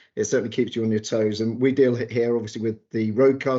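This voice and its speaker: In a British accent, a medium-pitched man talks very fast with monotone, flat intonation. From England. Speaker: automotive PR executive. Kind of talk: interview.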